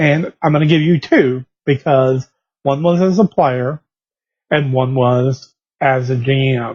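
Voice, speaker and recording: A somewhat breathy man with a fairly high pitch speaks fairly slowly, with fairly even intonation, very even loudness and a dry, close sound with no echo. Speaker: game designer and blogger. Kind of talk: casual video blog.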